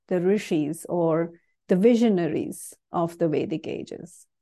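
At a fairly slow pace, a woman speaks with a medium pitch, a dark, mellow tone and ordinary pitch variation against a quiet background. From South India, Bangalore. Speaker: Vedic chanting teacher. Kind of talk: interview. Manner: halting.

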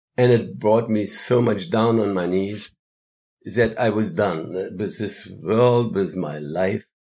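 A man speaks very slowly at a fairly low pitch, with ordinary pitch variation. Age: 70s. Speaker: yoga festival organizer and musician. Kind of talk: interview. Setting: live at a festival. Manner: halting.

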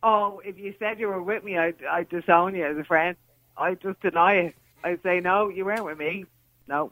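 Speaking with an Irish accent, a woman keeps a moderate pace, a medium pitch and fairly even intonation. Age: 40s. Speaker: caller, mother. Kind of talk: radio phone-in call. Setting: phone call.

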